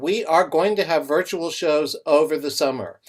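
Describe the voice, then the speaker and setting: Here is a plain, everyday voice with ordinary pitch variation. It moves at a moderate pace. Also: man. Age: 60s. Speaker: open mic show host. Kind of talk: live online show hosting. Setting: video call.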